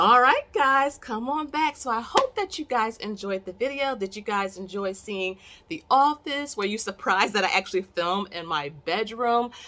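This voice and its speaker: In a very clean recording with a silent background, a woman speaks loudly at a moderate pace with hardly any pauses, her fairly high voice bright, sharp and animated with lively intonation. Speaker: investing YouTuber. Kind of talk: casual vlog talk to camera. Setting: home bedroom recording.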